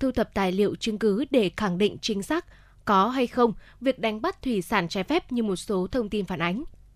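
In a very clean recording with a silent background, a woman speaks in a normal speaking voice at a moderate pace and fairly high pitch, with lively intonation and a dry, close sound that has no echo. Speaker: radio presenter. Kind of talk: news reading. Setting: studio. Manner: formal.

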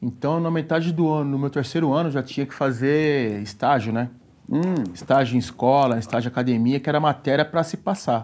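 At a fairly quick pace, a man with a fairly high pitch uses a normal speaking voice. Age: 40s. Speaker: personal trainer. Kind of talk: casual chat.

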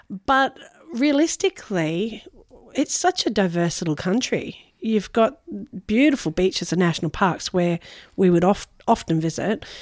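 On a very clean recording with a silent background, a woman at a medium pitch speaks at a moderate pace with very even loudness and very wide pitch swings. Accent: Australian. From Noosa, Queensland, Australia. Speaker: caterer and food business owner. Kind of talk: interview. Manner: hesitant, many fillers.

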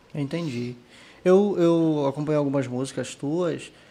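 A man with a plain, everyday voice speaks fairly slowly at a fairly high pitch. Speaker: podcast host. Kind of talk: casual interview. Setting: studio, live video stream.

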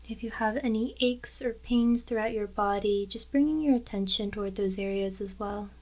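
A woman's normal speaking voice, fairly high in pitch, with fairly even intonation and hardly any pauses. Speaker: meditation guide. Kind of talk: guided meditation. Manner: slow, calm and soothing, with long pauses; gentle, measured and instructional.

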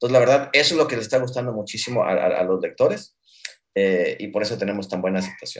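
A man is speaking. His pace is very fast. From Mexico. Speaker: startup founder. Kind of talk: interview. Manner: halting.

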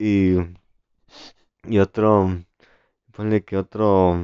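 The man's voice is very deep and low. He speaks at a very slow pace. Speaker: podcast co-host, student. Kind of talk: casual chat.

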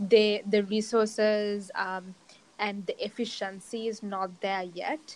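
A woman speaks very slowly in a monotone, flat intonation. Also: medium pitch for a woman. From Sri Lanka. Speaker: entrepreneur, co-working space founder. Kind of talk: interview. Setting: outdoors.

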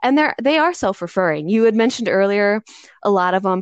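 A woman speaks with an American accent in a normal speaking voice, her pitch fairly high and her intonation lively. The background is quiet, and the sound is dry and close with no echo. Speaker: podcast host, social worker. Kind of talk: interview conversation.

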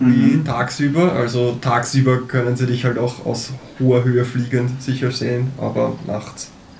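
Just an unforced reading voice.

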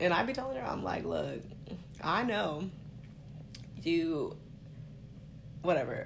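A woman at a fairly slow pace with long, frequent pauses and audible room echo. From Stockton, California. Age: 30s. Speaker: podcast co-host. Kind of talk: casual chat. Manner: animated.

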